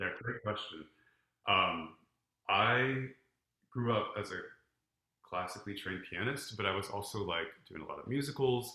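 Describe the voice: A man's bright, sharp voice at a fairly low pitch, with lively intonation, a moderate pace and audible room echo.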